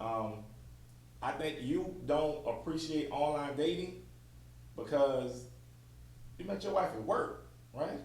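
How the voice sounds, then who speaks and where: With long, frequent pauses, a man speaks at a very slow pace amid audible room echo. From New Orleans, Louisiana. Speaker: podcast host. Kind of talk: casual chat.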